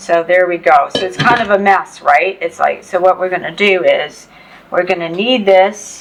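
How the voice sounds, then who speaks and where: Noticeable background noise surrounds a woman of medium pitch. She speaks at a moderate pace with ordinary pitch variation. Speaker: cooking channel host. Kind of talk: cooking tutorial. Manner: loud; casual, chatty with fillers.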